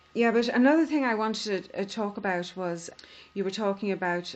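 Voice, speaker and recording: A woman speaks in a Donegal accent. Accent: Donegal Irish. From Ireland. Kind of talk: podcast conversation.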